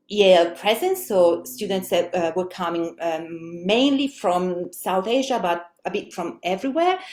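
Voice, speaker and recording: A woman talks at a fairly slow pace in an Italian accent. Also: medium pitch for a woman, ordinary pitch variation, hardly any pauses. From Italy. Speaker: language teacher and researcher. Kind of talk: webinar presentation. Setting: online webinar. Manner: hesitant, many fillers.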